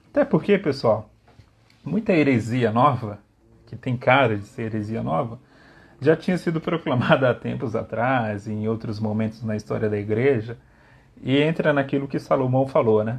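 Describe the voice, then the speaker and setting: Moderately paced male speech at medium pitch, somewhat breathy, with ordinary pitch variation. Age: 30s. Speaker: theology lecturer. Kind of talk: lecture. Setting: livestream. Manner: halting.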